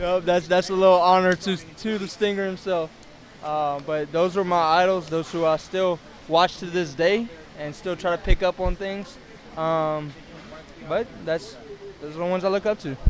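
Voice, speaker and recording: A man's high voice in a Louisiana accent, with fairly even intonation at a moderate pace. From South Louisiana. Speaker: independent pro wrestler. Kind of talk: casual interview.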